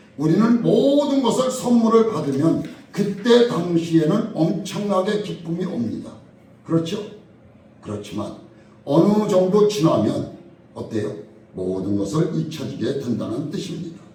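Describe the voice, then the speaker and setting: A man at a high pitch with very wide pitch swings, a fairly slow pace and long, frequent pauses, plus audible room echo and noticeable background noise. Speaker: pastor. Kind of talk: sermon.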